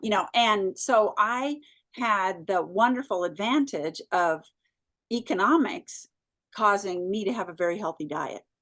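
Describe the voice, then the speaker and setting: With a normal speaking voice, a woman talks at a fairly slow pace with lively intonation against a quiet background. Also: medium pitch for a woman. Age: 60s. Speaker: food company founder. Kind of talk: interview.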